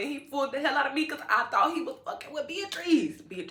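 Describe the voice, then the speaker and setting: A woman speaks in a raised, projected voice with an animated tone. Noticeable background noise and audible room echo surround her. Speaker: beauty vlogger. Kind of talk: casual chat while doing makeup.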